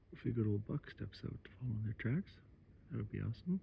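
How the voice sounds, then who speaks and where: At a moderate pace, a man's somewhat breathy voice of medium pitch makes very wide pitch swings. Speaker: hunting vlogger. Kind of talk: outdoor vlog narration. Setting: outdoors. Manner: whispering.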